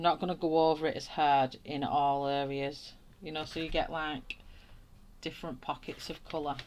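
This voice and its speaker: A woman speaks in a strong Lancashire accent, her voice very deep and low. She keeps a moderate pace and a flat monotone. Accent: broad flat northern English (Wigan). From northern England, Wigan. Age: 40s. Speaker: art YouTuber. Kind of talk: live stream chat while colouring. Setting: live stream. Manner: casual, chatty.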